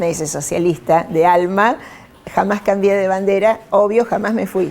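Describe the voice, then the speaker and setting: Medium in pitch, a woman speaks at a moderate pace. Her intonation stays fairly even. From Argentina, Rosario. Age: 60s. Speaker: politician. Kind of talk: interview. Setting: newsroom.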